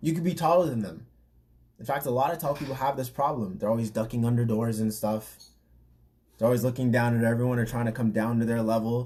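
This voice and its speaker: A man talks very fast at a medium pitch with ordinary pitch variation, his dark, mellow tone somewhat breathy. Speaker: fitness trainer and podcast host. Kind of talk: casual podcast talk.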